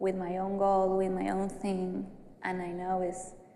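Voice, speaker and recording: A woman with an Argentine accent speaks very slowly in a flat monotone at medium pitch. The room echo is audible. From Argentina, Buenos Aires. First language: Spanish. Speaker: graduate counseling student. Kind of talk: group counseling class role-play. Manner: halting.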